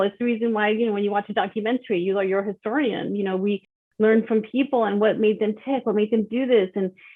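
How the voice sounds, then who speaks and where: Using an unremarkable speaking voice, a woman talks at a fairly quick pace, her pitch fairly high with ordinary variation. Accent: American. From Texas, El Paso. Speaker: author and children's speaker. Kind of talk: podcast interview.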